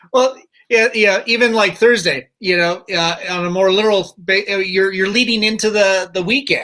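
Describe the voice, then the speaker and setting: A man's raised, projected voice, high in pitch and bright and sharp in tone, at a moderate pace. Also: hardly any pauses. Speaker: podcast host. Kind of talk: casual talk show host banter.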